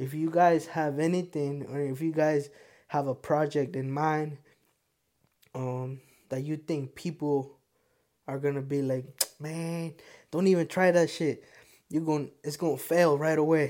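A speaker with a Spanish accent talks at a fairly slow pace. Long pauses come often. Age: 20s. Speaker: podcast host. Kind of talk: casual monologue. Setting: home studio.

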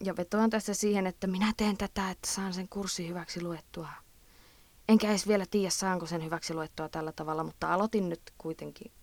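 On a very clean recording with a silent background, a woman with a medium pitch talks at a fairly quick pace with fairly even intonation. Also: dry, close sound with no echo. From Eastern Finland. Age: 20s. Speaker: podcast host, student. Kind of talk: casual advice monologue. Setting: recording in a closet at night.

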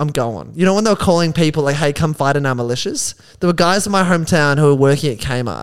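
Talking at a very fast pace with an Australian accent, a man has a fairly high pitch and ordinary pitch variation on a very clean recording with a silent background. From Melbourne, Australia. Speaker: stand-up comedian. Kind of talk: casual chat.

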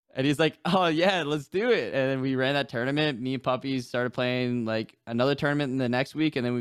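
A man with an American accent talks at a very fast pace. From New Hampshire, US. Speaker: gaming streamer. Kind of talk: casual chat.

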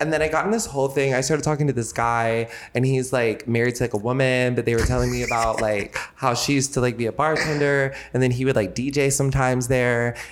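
Over noticeable background noise, a man talks at a very fast pace with hardly any pauses. His loudness stays very even and his intonation fairly even. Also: medium pitch for a man. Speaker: podcast host. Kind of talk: casual chat.

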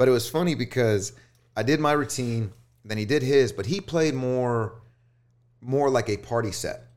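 Recorded very cleanly against a silent background, a man speaks with an American accent at a moderate pace. His medium pitch varies in an ordinary way, and he takes long, frequent pauses. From US South, northwest Houston suburbs, Texas. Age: 30s. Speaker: DJ. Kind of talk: casual chat. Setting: studio.

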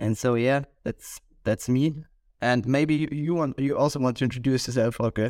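A man with an Austrian accent speaks at a moderate pace and medium pitch, with fairly even intonation and very even loudness. The recording is very clean and dry, close with no echo, and the background is silent. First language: German. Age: 20s. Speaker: podcast co-host and university student. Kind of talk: casual chat.

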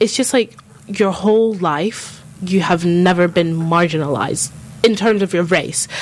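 A woman's mid-range voice moves along at a moderate pace. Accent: London. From North London, England. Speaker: student guest. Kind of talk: casual chat. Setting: studio.

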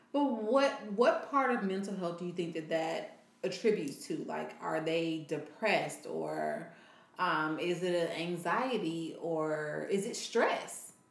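Against noticeable background noise, a woman speaks fairly slowly at a fairly low pitch with lively intonation. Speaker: podcast co-host, parent. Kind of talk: casual chat.

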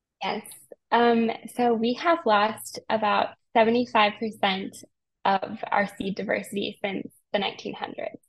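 With a General American accent, a somewhat breathy woman speaks very slowly with fairly even intonation. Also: fairly high pitch for a woman. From Colorado. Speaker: climate communicator and documentary filmmaker. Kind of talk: podcast interview.

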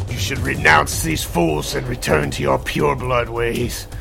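Loud music plays behind a man doing a gruff, put-on character voice at a fairly slow pace. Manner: menacing, persuasive.

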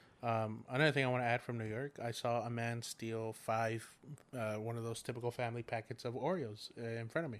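Medium pitch and fairly even intonation mark this man's voice. He talks at a fairly quick pace. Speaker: guest. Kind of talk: casual chat. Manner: loud.

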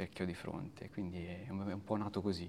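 Fairly quick speech from a man with a very deep, low pitch. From Italy, Tuscany (Arezzo). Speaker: photographer. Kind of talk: casual interview chat. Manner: halting, repetitive.

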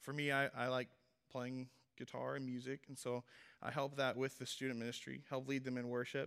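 At a fairly quick pace, a man talks in a medium pitch with monotone, flat intonation. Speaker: young preacher at a men's ministry series. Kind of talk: sermon. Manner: casual and halting, many fillers.

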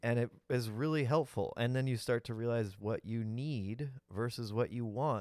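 Recorded very cleanly with a silent background, a man speaks at medium pitch with fairly even intonation. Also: hardly any pauses. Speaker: podcast co-host. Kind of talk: casual chat. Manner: fast.

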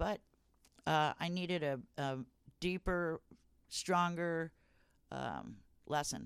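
In an American accent, the speech comes at a very slow pace with long, frequent pauses and ordinary pitch variation. The sound is dry and close, with no echo. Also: woman, fairly low pitch for a woman. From California, Santa Barbara and Ojai. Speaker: canvasser in recovery from addiction. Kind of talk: casual interview, personal testimony.

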